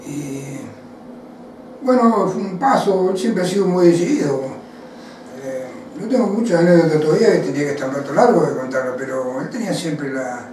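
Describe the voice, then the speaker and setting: A high-pitched man at a moderate pace, very wide pitch swings, long, frequent pauses, audible room echo and noticeable background noise. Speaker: former footballer. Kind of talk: interview. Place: home room.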